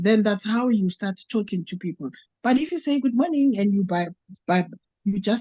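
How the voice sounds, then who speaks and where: A woman speaks at a moderate pace with a fairly high, somewhat breathy voice. Her tone is dark and mellow, and the sound is dry and close with no echo. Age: 60s. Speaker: network marketing participant. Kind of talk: testimony. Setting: video call. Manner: halting.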